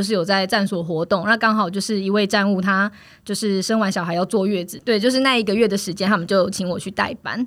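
In an ordinary speaking voice, a woman talks at a fairly quick pace with hardly any pauses. Her pitch is medium and her intonation fairly even. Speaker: food co-op member. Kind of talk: casual interview.

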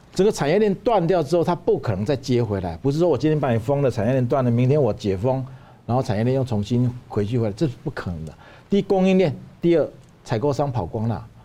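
Very fast and full of very wide pitch swings, a man speaks at medium pitch with a dark, mellow tone. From Taiwan. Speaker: Taiwanese businessman. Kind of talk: analytical discussion. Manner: emphatic, repeats words.

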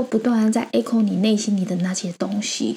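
Her pitch rises and falls in an ordinary way. The woman keeps to a moderate pace. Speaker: crypto podcast host. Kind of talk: casual chat.

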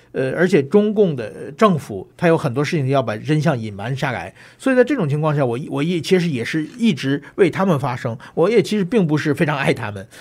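Speaking with hardly any pauses, a man at a fairly high pitch makes very wide pitch swings. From China (Tianjin). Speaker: journalist and political commentator. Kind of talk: interview.

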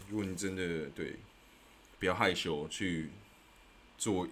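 A man speaks in a very deep, low pitch with ordinary pitch variation. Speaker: podcast host. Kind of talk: solo explainer talk. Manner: casual, many filler words.

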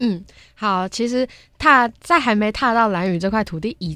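A woman speaks in a plain, everyday voice at a moderate pace with ordinary pitch variation. The recording is very clean, with a silent background. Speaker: university broadcasting student. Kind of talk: casual interview chat. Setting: studio.

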